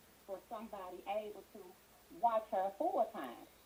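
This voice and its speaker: A woman talks in a soft-spoken manner. Her pitch is fairly high. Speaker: caller. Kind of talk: call-in show. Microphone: too quiet at first.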